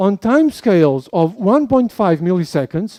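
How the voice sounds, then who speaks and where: A man with a high voice and a dark, mellow tone talks at a moderate pace. His pitch swings very widely, and the sound is dry and close with no echo. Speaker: physics professor. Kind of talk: lecture.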